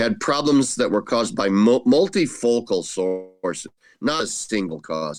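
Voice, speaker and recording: A man with a normal speaking voice, medium pitch and a moderate pace. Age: 60s. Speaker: retired theology professor. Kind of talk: interview.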